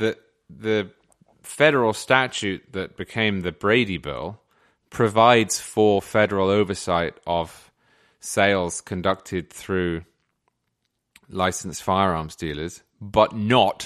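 Against a quiet background, a man speaks very slowly with long, frequent pauses, a fairly low pitch and ordinary pitch variation. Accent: British. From England. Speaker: magazine editor and commentator. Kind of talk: casual conversational interview.

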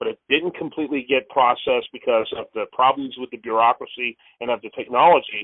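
This man has a plain, everyday voice with a medium pitch. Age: 50s. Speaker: radio host and political commentator. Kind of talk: interview.

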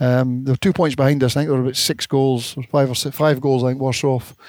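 In a dry, close sound with no echo, a man with a Scottish accent speaks fairly quickly at a medium pitch, his intonation flat and monotone. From north of Scotland. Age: 60s. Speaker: former footballer and coach. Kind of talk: interview. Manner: halting.

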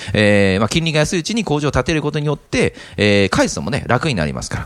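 The speaker is a man. His voice has vocal fry. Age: 30s. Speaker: real estate investment podcast host. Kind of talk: casual explanatory chat. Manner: halting with many fillers.

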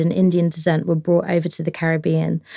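A woman's fairly low-pitched voice. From London, England. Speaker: chef and food stylist. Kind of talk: interview. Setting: studio.

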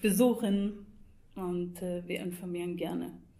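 Audible room echo surrounds a woman of medium pitch whose intonation stays fairly even. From Scotland. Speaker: EU liaison office youth projects staffer. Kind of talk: interview.

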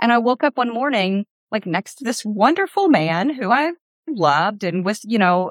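A woman with a strong Appalachian accent talks at a moderate pace, her pitch swinging very widely. The sound is dry and close with no echo, on a very clean recording with a silent background. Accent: Appalachian Southern US, thick. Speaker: author. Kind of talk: casual interview conversation.

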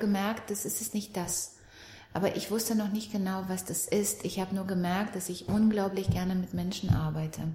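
A medium-pitched woman speaks with monotone, flat intonation at a moderate pace, with noticeable background noise. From Romania. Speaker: NLP trainer and relationship coach. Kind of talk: casual interview chat.

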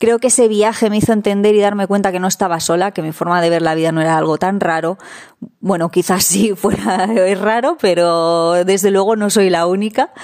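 With ordinary pitch variation, a normal speaking voice moves along at a fairly quick pace. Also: woman, medium pitch for a woman. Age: 30s. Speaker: van-life traveler. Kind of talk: recorded testimony.

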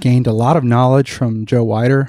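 A man with an American accent speaks at a medium pitch in a dark, mellow tone. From US, South Florida (Broward County). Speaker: physical therapist and academic. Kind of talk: interview. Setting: at a conference.

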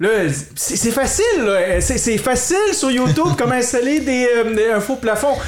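An extremely high man's voice with lively intonation and very even loudness at a fairly slow pace, amid audible room echo and noticeable background noise. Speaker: podcast host. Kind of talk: casual chat. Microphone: some echo from the room.

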